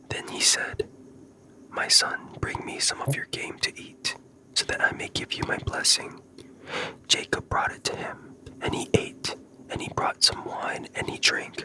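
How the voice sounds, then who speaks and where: Whispering at a fairly slow pace, with long, frequent pauses and noticeable background noise. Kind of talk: ASMR scripture reading for sleep. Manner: whispered.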